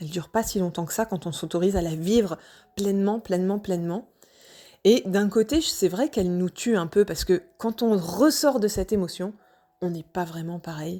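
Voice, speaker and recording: Here a woman speaks with a Normandy accent. Her tone is dark and mellow. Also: medium pitch for a woman, ordinary pitch variation, moderate pace. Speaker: personal vlogger sharing wellbeing journey. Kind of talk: personal testimony, casual monologue. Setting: home, evening audio recording. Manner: hesitant, many fillers.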